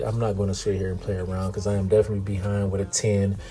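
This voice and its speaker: Amid noticeable background noise, a man talks very fast in a fairly low voice. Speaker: poker vlogger. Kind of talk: casual vlog commentary on poker hands. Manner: slurring words.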